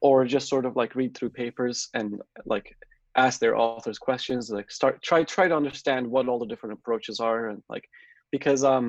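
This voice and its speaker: A man talks fairly quickly with a Turkish accent. The sound is dry and close, with no echo. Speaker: software developer. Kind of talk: interview. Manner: hesitant, many fillers.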